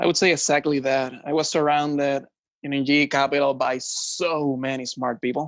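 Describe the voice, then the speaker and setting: On a very clean recording with a silent background, a man speaks at a moderate pace. His pitch is fairly high and his intonation monotone and flat. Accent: Puerto Rican. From Puerto Rico. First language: Spanish. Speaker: finance executive. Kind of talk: podcast interview.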